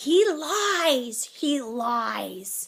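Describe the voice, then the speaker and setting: A put-on character voice, female-sounding, high-pitched and growling. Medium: read story. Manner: cold, commanding.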